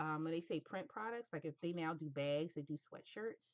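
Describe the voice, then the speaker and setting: A woman talks in a normal speaking voice at a moderate pace. Her pitch is fairly low, and the sound is dry and close with no echo. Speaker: graphic design tutor. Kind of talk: tutorial.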